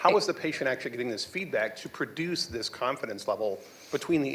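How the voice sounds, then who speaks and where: A loud man at a very fast pace, with very wide pitch swings. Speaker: audience member. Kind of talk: Q and A question.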